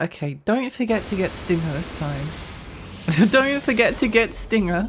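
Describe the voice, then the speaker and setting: A woman's medium-pitched voice at a moderate pace, with very wide pitch swings and noticeable background noise. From Australia. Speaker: video game streamer. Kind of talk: live gameplay stream chat. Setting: live stream. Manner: casual, repetitive.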